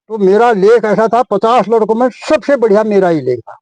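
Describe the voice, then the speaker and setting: This man's voice is high-pitched, with ordinary pitch variation. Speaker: retired teacher. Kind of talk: interview answer.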